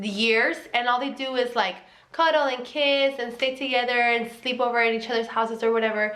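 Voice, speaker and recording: In a high pitch and a bright, sharp tone, a woman with a Mexican accent speaks at a fairly quick pace, with audible room echo. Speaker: vlogger. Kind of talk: casual advice vlog. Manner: casual, filler-heavy with self-corrections.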